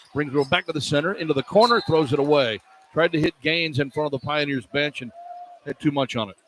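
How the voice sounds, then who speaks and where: A man's fairly high-pitched voice is heard through noticeable background noise. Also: dry, close sound with no echo. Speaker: radio play-by-play announcer. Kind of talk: live college basketball radio play-by-play. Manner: fast, fluent.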